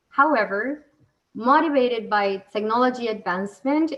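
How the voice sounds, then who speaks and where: A woman's fairly high voice, a normal speaking voice, with ordinary pitch variation at a moderate pace. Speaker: event moderator. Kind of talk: panel moderation with briefing.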